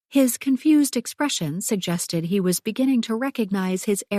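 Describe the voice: Someone does plain reading aloud. Their intonation is lively.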